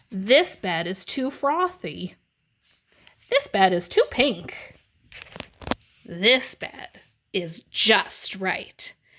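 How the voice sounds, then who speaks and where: Using a put-on character voice, a woman speaks at a very slow pace with medium pitch and long, frequent pauses. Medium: read story. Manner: fussy.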